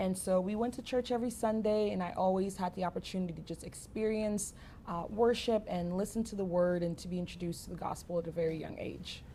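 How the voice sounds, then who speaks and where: At a very fast pace with hardly any pauses, a woman speaks at medium pitch in a dark, mellow, somewhat breathy tone with fairly even intonation. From Cameroon. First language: French. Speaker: ministry speaker. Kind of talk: interview testimony.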